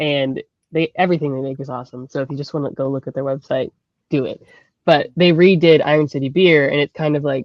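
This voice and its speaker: This woman has a very deep, low pitch and fairly even intonation, speaking at a very fast pace. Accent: slight Pittsburgh. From Pittsburgh, Pennsylvania. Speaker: graphic designer. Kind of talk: casual panel chat.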